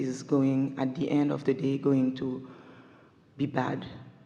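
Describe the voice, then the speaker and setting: With a non-native accent, a woman speaks at a fairly slow pace amid audible room echo. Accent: foreign. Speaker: audience member at a seminar. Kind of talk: audience question in a live seminar.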